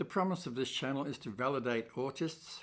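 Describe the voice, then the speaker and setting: Ordinary pitch variation runs through this voice with an Australian accent. The pace is fairly slow. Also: man, very clean recording, silent background. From Australia, Melbourne. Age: 70s. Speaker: YouTuber and author. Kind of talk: channel introduction monologue. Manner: scripted, with hesitations.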